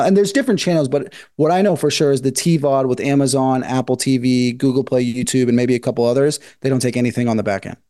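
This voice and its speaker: A man with an American accent, fairly high-pitched and very fast, against a quiet background. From Northern California. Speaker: independent filmmaker. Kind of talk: interview.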